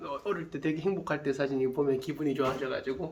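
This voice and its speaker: Fairly quick male speech, noticeable background noise throughout. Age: 30s. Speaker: full-time stock trader, former phone shop owner. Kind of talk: casual interview.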